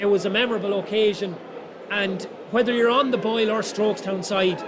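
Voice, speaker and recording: A man with a high-pitched voice speaks in an Irish midlands accent and a flat monotone, with noticeable background noise and audible room echo. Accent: Irish (Roscommon). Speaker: GAA match commentator. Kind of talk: post-match analysis.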